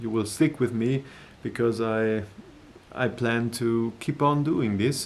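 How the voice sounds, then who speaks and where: With a German accent, a man talks at a very slow pace using fairly even intonation. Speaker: musician and video creator. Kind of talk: personal announcement to viewers. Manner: halting, many hesitations and repetitions.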